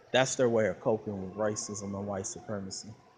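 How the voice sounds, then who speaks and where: A man speaks in an American accent, his pitch fairly low. Noticeable background noise runs behind him. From Flint, Michigan, US Midwest. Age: 30s. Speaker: YouTuber. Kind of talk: casual vlog monologue. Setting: outdoors at a shopping mall. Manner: animated.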